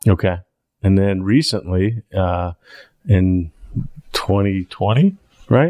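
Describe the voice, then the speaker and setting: In a very clean recording with a silent background, a man with an American accent talks at a very slow pace with long, frequent pauses, his fairly low pitch showing ordinary variation and a dark, mellow tone. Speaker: podcast host. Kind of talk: casual interview conversation.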